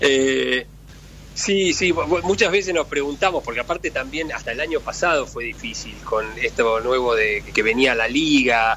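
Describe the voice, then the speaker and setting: Speaking in a Rioplatense accent, a man goes at a fairly slow pace against noticeable background noise. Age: 50s. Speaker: sports federation president. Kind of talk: interview. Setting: phone call. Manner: halting.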